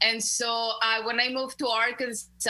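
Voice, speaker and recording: A woman speaks with a Spanish accent against noticeable background noise. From Mexico (León, Guanajuato). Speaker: community organizer. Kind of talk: interview. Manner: halting.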